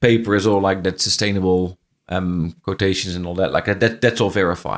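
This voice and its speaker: A Dutch accent on a very clean recording with a silent background. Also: man. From Netherlands. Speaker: franchise business owner. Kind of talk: interview conversation. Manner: halting, with frequent repetitions.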